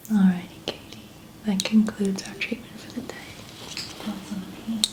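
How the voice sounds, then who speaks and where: Whispering in a gentle tone, a woman goes at a fairly slow pace while noticeable background noise plays behind her. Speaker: ASMR roleplay artist (chiropractor, makeup artist). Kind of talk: ASMR roleplay, soft-spoken. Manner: soft-spoken, slow, gentle.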